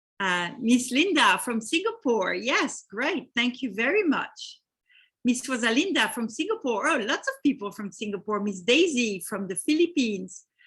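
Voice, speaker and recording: A high-pitched woman in a French accent, moderate pace, very wide pitch swings. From France. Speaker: real estate investment company host. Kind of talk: webinar presentation.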